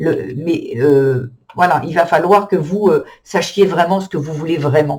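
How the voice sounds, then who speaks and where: The man's voice sits high in pitch and moves with ordinary variation. He speaks at a very slow pace. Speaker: tarot reader. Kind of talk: tarot reading. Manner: halting with many fillers.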